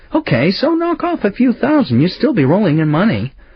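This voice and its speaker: A man puts on a raspy character voice, pitched high, with very wide pitch swings, very even loudness and a fairly quick pace. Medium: read story. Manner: blunt, pushy.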